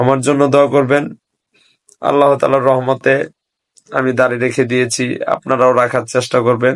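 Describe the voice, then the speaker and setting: The loudness stays very even while the intonation is monotone and flat. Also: man, medium pitch for a man. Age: 20s. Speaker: religious video blogger. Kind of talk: religious monologue to camera. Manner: halting.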